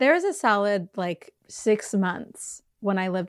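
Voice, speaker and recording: In a very clean recording with a silent background, a woman speaks at a medium pitch and a moderate pace. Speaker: podcast co-host and actor. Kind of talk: casual chat. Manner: enthusiastic.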